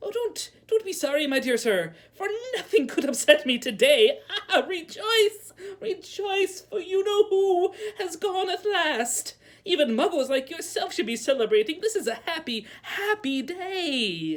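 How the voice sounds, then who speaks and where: A put-on, squeaky character voice, raised and projected, at an extremely high pitch. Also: moderate pace. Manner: joyful, excited.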